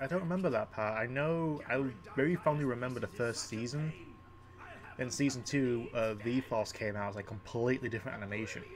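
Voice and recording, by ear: A man talks at a moderate pace in a croaky, medium-pitched voice. His pitch varies in an ordinary way.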